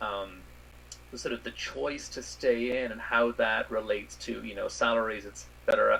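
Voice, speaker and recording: Someone with an Irish accent talks at a moderate pace, the loudness swinging widely, with noticeable background noise. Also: man. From Ireland. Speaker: space scientist. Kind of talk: interview.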